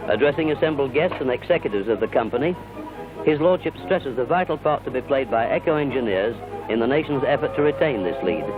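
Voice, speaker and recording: Over music in the background, a man talks at a very fast pace and medium pitch with lively intonation. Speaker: newsreel narrator. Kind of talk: 1950s newsreel narration.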